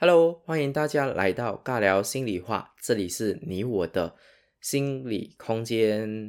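Speaking very slowly, a man with a Sarawak accent uses a medium pitch and lively intonation. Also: very clean recording, silent background. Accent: Sarawak Malaysian Mandarin accent, noticeable. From Sarawak, East Malaysia. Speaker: hypnotherapist and podcast host. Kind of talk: solo podcast monologue. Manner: casual, with many fillers.

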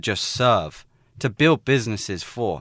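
A man in a plain, everyday voice, medium in pitch with lively intonation, at a moderate pace, the sound dry and close with no echo and a quiet background. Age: 20s. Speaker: global director of a student social enterprise competition. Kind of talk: radio interview. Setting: radio studio.

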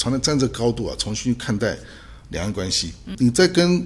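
Speaking at a moderate pace, a man with a medium-pitched voice uses lively intonation. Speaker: political scientist, associate professor and human rights activist. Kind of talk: interview. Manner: halting, many fillers.

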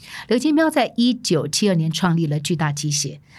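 Somewhat breathy, a woman speaks at a fairly low pitch on a very clean recording with a silent background. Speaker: podcast host, former media executive. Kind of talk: solo narrated storytelling podcast. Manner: animated.

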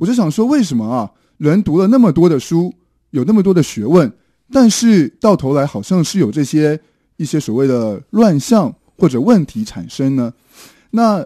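A man speaks at a moderate pace with very wide pitch swings. The sound is dry and close with no echo, over a quiet background. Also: fairly high pitch for a man. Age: 30s. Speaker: volunteer life-education teacher. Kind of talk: radio interview. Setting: radio studio. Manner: hesitant with fillers.

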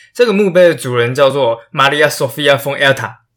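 With ordinary pitch variation, the man's voice sits at a medium pitch. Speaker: history podcaster. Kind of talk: storytelling podcast narration. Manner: animated. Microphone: new microphone.

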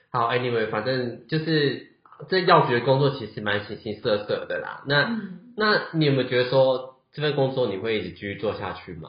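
A man speaks at a moderate pace with a medium pitch and lively intonation. His loudness swings widely, and room echo is audible. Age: 30s. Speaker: podcast host. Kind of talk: casual chat.

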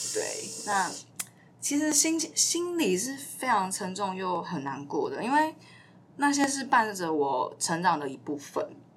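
A woman speaks at a fairly slow pace in a somewhat breathy, fairly high voice with very wide pitch swings. Room echo is audible. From southern Taiwan. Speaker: podcast co-host. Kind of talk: personal storytelling.

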